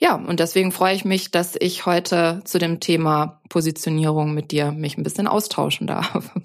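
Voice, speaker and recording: Against noticeable background noise, a woman with a fairly low pitch speaks at a moderate pace with fairly even intonation. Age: 50s. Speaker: business mentor. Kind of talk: casual chat. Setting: video call.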